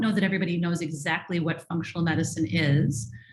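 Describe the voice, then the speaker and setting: At a very fast pace, a woman speaks in a somewhat breathy voice with a fairly low pitch. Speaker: functional medicine physician. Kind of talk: webinar presentation.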